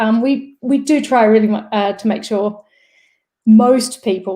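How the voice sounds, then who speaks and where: A woman with an Australian accent speaks at a very slow pace in a fairly high pitch. Her tone is dark and mellow, her intonation fairly even. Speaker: program alumna and team member. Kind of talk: live stream chat.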